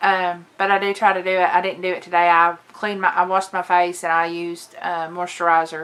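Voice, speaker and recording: A monotone, flat Southern US accent delivery with hardly any pauses. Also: woman, fairly low pitch for a woman. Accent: southern drawl. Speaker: lifestyle and makeup vlogger. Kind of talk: casual vlog chat. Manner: chatty, hesitant with fillers.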